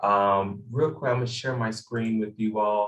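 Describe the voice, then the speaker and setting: A normal speaking voice delivered at a moderate pace with fairly even intonation. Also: man. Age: 20s. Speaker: nonprofit CEO and activist. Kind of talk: presentation.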